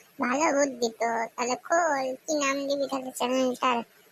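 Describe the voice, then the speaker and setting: Using a cartoonish character voice, a woman speaks high-pitched with fairly even intonation. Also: moderate pace. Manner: eager, supportive.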